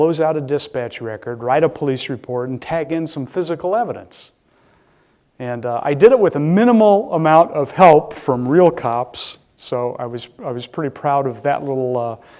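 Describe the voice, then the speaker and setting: Speaking in a Midwestern US accent, a man has a dark, mellow tone. His intonation is lively and his pace moderate. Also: fairly high pitch for a man. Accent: US Midwest. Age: 60s. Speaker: public safety director. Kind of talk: lecture. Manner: halting.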